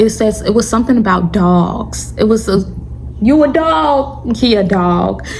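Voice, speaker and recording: A woman with a fairly high pitch speaks in an animated tone at a fairly slow pace, with audible room echo and music playing in the background. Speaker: YouTuber sharing religious testimony. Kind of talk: storytime testimony monologue. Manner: stuttering.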